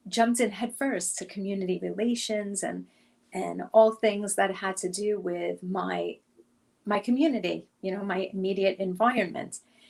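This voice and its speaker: In an American accent, a woman speaks at a moderate pace with fairly even intonation. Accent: Brooklyn accent, stronger when emphatic. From New York, Brooklyn. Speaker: career coach. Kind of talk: interview.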